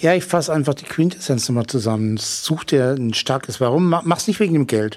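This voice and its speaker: With noticeable background noise behind him, a man talks at a fairly quick pace with hardly any pauses. His fairly high voice has lively intonation. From Franconia, Germany. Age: 40s. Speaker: telephone sales consultant and online marketer. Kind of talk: interview. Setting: hotel during a seminar.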